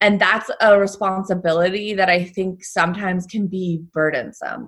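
A woman with a plain, everyday voice and an American accent speaks at a medium pitch and a moderate pace with fairly even intonation. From New York State, US. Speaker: travel journalist. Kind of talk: interview.

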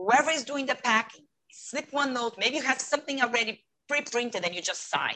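Talking at a fairly quick pace, a woman with a Portuguese accent uses a raised, projected, high voice with ordinary pitch variation. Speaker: retail customer experience consultant. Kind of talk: interview. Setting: video call. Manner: animated.

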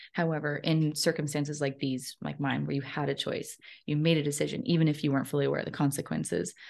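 A woman's very deep, low voice with vocal fry, at a fairly quick pace over a quiet background. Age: 30s. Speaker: author and speaker. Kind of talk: interview.

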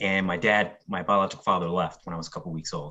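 A man talks very fast in a very deep, low voice with a bright, sharp tone. His intonation is fairly even. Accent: American. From Philadelphia, Kensington. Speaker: media professional. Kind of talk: casual interview.

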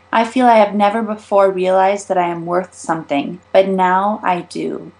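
At a moderate pace, a woman talks in an ordinary speaking voice, at medium pitch with ordinary pitch variation. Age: 20s. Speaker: author. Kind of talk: reading aloud.

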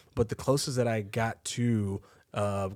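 In a very clean recording with a silent background, a man speaks in an ordinary speaking voice, his pitch fairly low with ordinary variation. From Texas, Waco. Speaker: podcast co-host. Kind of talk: podcast interview.

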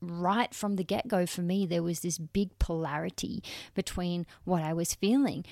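A woman's dark, mellow, fairly low voice with an Australian accent, at a moderate pace with fairly even intonation, in a dry, close sound with no echo on a very clean recording with a silent background. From Western Australia. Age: 30s. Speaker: podcast host and transformation coach. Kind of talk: personal storytelling monologue. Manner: warm, casual.

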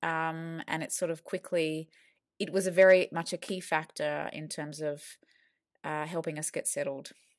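A woman speaks in a normal speaking voice at a moderate pace. Her fairly low pitch comes through dry and close with no echo, over a quiet background. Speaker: school parent. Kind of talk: podcast interview.

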